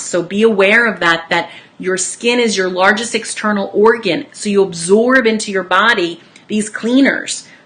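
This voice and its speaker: An energetic woman at a medium pitch, with ordinary pitch variation, a moderate pace and noticeable background noise. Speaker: wellness educator, essential oils distributor. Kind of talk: informational talk to online audience.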